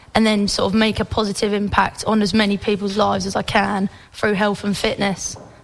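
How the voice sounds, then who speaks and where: This woman talks at a fairly quick pace with a medium pitch and a monotone, flat intonation. Noticeable background noise sits behind her voice. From Fleet, Hampshire, England. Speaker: fitness business owner. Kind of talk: casual radio interview.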